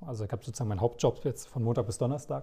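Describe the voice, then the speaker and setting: Dark and mellow, a man's somewhat breathy voice sits at a medium pitch. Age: 30s. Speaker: wedding DJ. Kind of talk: casual interview. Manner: talkative.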